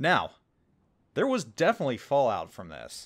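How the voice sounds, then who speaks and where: In a plain, everyday voice with an American accent, a man of medium pitch speaks at a moderate pace with lively intonation on a very clean recording with a silent background. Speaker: gaming YouTuber. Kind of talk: storytelling monologue. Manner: casual, conversational.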